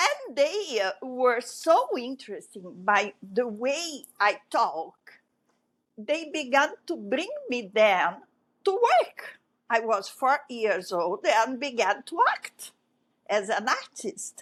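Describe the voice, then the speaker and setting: At a very slow pace, a woman speaks in a high pitch with very wide pitch swings. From Brazil (grew up in Rio), born in Egypt. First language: French. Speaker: broadcast sports event director. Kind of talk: interview. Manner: halting.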